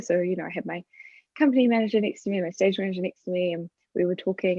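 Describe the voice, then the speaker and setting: A woman at a medium pitch and a very fast pace, with fairly even intonation. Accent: New Zealand. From New Zealand. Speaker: stage manager. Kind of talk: panel discussion.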